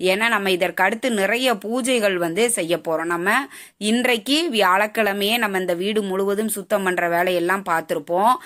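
Pausing little, a woman talks at a medium pitch with a fairly bright tone. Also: ordinary pitch variation, moderate pace.

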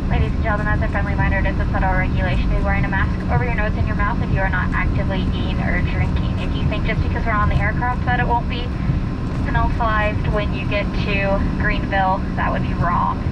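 The speech moves at a very fast pace over loud background noise. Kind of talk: cabin announcement. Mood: firm, warning. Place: plane.

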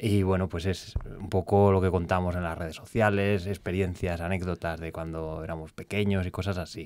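The delivery has hardly any pauses. The intonation is monotone and flat. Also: man, very deep, low pitch for a man, moderate pace. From Castile and León, Spain (Béjar, Salamanca); Castile and León, Spain. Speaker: food safety science communicator; podcast guest. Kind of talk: casual chat. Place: studio. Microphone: studio mic.

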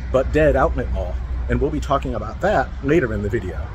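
A man's voice over noticeable background noise. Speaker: urban explorer vlogger. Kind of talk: casual vlog commentary. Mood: dry, wry humor. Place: street. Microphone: phone near.

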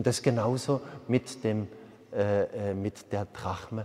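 A man talks in an animated tone with ordinary pitch variation. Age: 50s. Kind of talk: sermon. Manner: hesitant fillers. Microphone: lapel.

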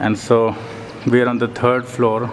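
Very slowly, a man speaks. Light background noise is heard. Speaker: tourist guide narrator. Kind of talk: casual travel commentary. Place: tunnel cave. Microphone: phone near.

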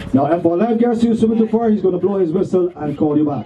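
This is a man's voice. There is noticeable noise in the background. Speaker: pirate cruise crew member / host. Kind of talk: safety briefing announcement to passengers. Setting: outdoors on a boat. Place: boat.

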